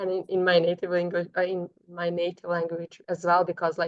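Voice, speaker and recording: A woman's medium-pitched voice with a non-native accent, dry and close with no echo. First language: not English. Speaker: podcast host. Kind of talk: interview conversation.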